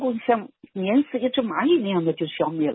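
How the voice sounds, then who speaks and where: A woman's voice with very wide pitch swings. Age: 80s+. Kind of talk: interview.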